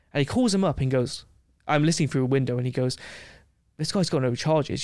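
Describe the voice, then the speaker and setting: A man with an English accent speaks at a fairly high pitch. The recording is very clean, with a silent background. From England. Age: 20s. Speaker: travel adventurer and video creator. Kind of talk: casual chat. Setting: studio.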